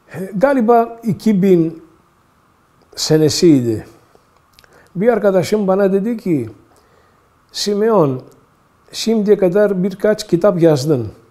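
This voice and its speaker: Speaking very slowly with long, frequent pauses, a man uses a high pitch and a dark, mellow tone. His loudness stays very even throughout. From Istanbul, Turkey (Greek minority). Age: 70s. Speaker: academic and translator, oral history interviewee. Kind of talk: oral history interview. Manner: halting, with many fillers.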